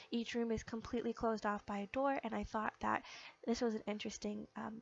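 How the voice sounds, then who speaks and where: A woman speaks in a fairly high pitch. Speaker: gaming video creator. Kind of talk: casual game build commentary. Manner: many filler words (um, uh).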